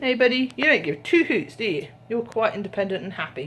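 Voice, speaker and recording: A woman with a British accent at a fairly quick pace, with noticeable background noise. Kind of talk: casual vlog talk to camera. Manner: chatty, babbling.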